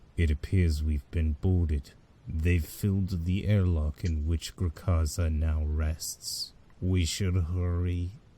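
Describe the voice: A fairly slow, very deep, low-pitched put-on character voice from a man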